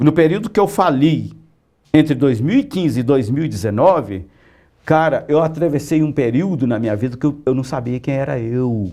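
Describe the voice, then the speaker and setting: A man with a dark, mellow tone and lively intonation against a quiet background. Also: fairly high pitch for a man, moderate pace. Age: 60s. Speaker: comic book artist and writer. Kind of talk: interview. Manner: casual, animated.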